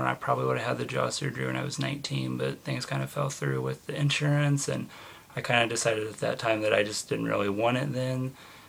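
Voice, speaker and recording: The speaker has an American accent and a fairly quick pace. Their pitch swings very widely, over noticeable background noise. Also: man. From US Midwest (Indiana). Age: 20s. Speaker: vlogger. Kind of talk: personal video diary. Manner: casual with many fillers.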